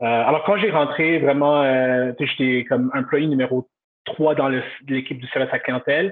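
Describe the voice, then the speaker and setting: His pitch is fairly high, with ordinary variation. The man keeps a moderate pace. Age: 30s. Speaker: customer service director. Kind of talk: interview. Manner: halting.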